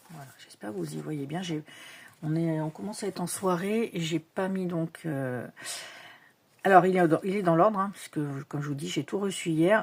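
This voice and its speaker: At a moderate pace and fairly low pitch, a woman speaks with ordinary pitch variation, big swings in loudness and long, frequent pauses, in a very clean recording with a silent background. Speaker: tarot and oracle card youtuber. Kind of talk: casual unboxing show-and-tell. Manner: hesitant, many fillers.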